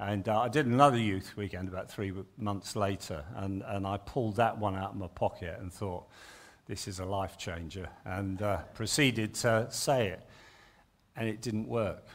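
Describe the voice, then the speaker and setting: The speaker has an English accent and a moderate pace. Pitch varies in an ordinary way. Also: man, fairly low pitch for a man. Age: 60s. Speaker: retired Baptist minister. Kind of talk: sermon. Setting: church.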